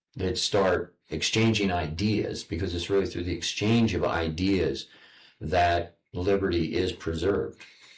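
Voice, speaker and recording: Somewhat breathy, a man with an American accent speaks with a very deep, low pitch and fairly even intonation at a fairly slow pace. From United States. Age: 70s. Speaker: online broadcast host. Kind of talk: interview. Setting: public library. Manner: halting, repeats words.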